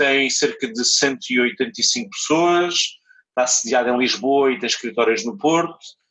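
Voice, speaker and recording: A plain, everyday voice from a man, fairly high in pitch, fairly slow, with lively intonation. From Portugal, Algarve (Portimão). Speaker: entrepreneur. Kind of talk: interview. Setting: remote call.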